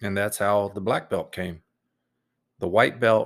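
On a very clean recording with a silent background, a man speaks at a fairly slow pace in a flat monotone. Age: 40s. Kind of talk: solo monologue podcast. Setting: home room with computer. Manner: says um a lot.

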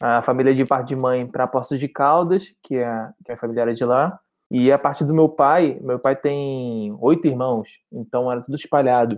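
A plain, everyday voice from a man, medium in pitch, moderate in pace, its pitch variation ordinary. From Rio de Janeiro, Brazil. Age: 30s. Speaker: travel content creator. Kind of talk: podcast interview.

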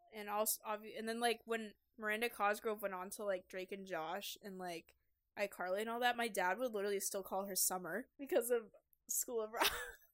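Delivered at a fairly quick pace, an ordinary speaking voice keeps its intonation fairly even. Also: woman, fairly high pitch for a woman. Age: 20s. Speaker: podcast co-host. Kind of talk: casual chat.

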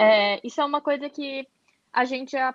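This woman's voice sits high in pitch. Its pitch variation is ordinary. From Florianópolis, southern Brazil. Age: 20s. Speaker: fashion rental entrepreneur. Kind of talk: casual interview chat.

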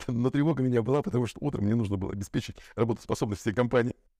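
A medium-pitched man has a dark, mellow tone and lively intonation. The sound is dry and close, with no echo. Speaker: podcast co-host. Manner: hesitant, filler-heavy, rambling.

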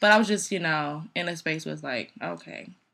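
Over a silent background on a very clean recording, a woman speaks at a fairly low pitch with vocal fry and a bright, sharp tone. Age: 30s. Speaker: podcast co-host. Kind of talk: casual chat.

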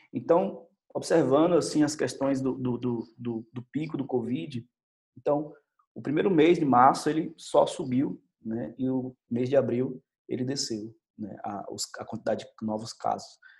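A man's medium-pitched voice at a fairly slow pace, with ordinary pitch variation and big swings in loudness. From Brazil, Bahia (Salvador). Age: 30s. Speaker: teacher and doctoral student. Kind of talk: testimony. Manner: halting, many fillers.

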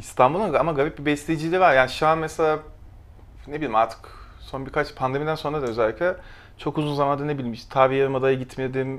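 Very fast speech from a man at a fairly high pitch with fairly even intonation, in a very clean recording with a silent background. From Turkey, Kastamonu and Konya. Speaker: illustrator and graphic designer. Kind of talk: casual chat.

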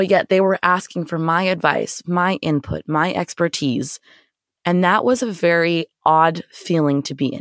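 A woman with an American accent in an ordinary speaking voice, fairly low in pitch with ordinary pitch variation, at a fairly slow pace, in a dry, close sound with no echo and a very clean recording with a silent background. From Florida, then Canada from high school. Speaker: podcast host and nonprofit director. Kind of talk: solo podcast monologue.

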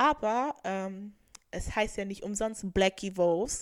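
A woman's animated tone on a very clean recording with a silent background. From Germany. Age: 20s. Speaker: podcast host, student. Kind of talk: casual monologue.

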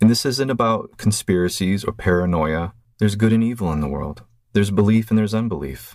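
A man talks at a very fast pace in a fairly low pitch on a very clean recording with a silent background. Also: ordinary pitch variation. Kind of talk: exhortation monologue. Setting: video recording. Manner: faint, weak.

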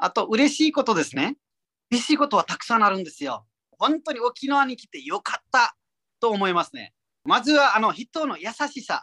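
At a moderate pace, the speaker talks with a Nepali accent on a very clean recording with a silent background. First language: Nepali (speaking Japanese). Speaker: comedian. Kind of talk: interview. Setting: pre-recorded audio.

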